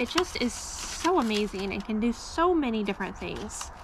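With noticeable background noise behind her, a woman speaks at a high pitch with very wide pitch swings. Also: dry sound with no echo. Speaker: home gardener vlogger. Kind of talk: casual vlog chat. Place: garden. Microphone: phone near.

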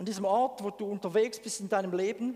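A man's high-pitched voice against a quiet background. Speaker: preacher. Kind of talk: sermon. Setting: church. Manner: animated; conversational. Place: church. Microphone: headset.

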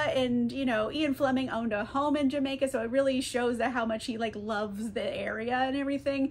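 The speaker is a woman. Her voice sits at a high pitch. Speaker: book vlogger. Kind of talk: casual vlog chat. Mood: cheerful, playful. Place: home room.

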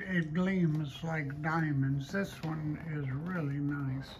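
The speech moves at a very slow pace. Noticeable background noise runs underneath. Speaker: estate auction host. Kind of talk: walkthrough commentary describing items. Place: hall. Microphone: phone near.

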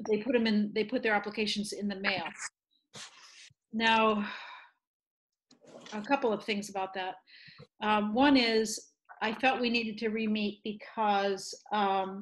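The voice is somewhat breathy and flat, in a monotone. It moves at a fairly slow pace with long, frequent pauses. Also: woman. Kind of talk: meeting remarks. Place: kitchen. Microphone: video call.

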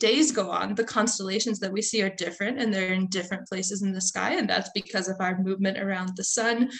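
This woman talks with an American accent, and the background is quiet. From Central Florida. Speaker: science journalist and author; guest. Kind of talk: interview. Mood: relaxed, thoughtful. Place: home room. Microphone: video call.

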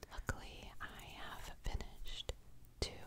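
Whispering from a woman, very slow in pace. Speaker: ASMR creator. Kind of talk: soft ASMR chat, repeated words. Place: home room.

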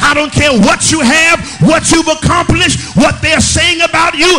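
A man speaks at an extremely high pitch with ordinary pitch variation. His pace is moderate, with clear music in the background. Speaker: pastor. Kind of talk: sermon. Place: church. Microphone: podium.

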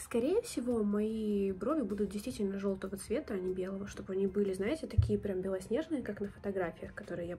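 A woman's fairly quick speech with ordinary pitch variation over light background noise. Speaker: beauty vlogger. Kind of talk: casual tutorial vlog chat. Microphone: phone near.

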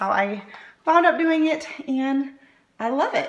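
Speaking with lively intonation, a woman is heard. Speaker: craft vlogger. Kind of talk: tutorial. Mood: cheerful, upbeat. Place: home room. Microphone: phone near.

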